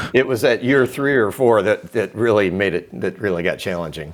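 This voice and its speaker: A man's intonation is lively as he talks at a moderate pace. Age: 60s. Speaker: retired farm equipment dealer. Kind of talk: interview. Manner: halting, many fillers.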